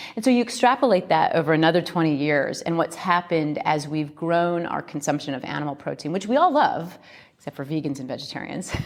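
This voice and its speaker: A woman in an American accent, with an unremarkable speaking voice and fairly low pitch, talks at a fairly quick pace with lively intonation. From US Midwest, Iowa. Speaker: company co-founder. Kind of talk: interview.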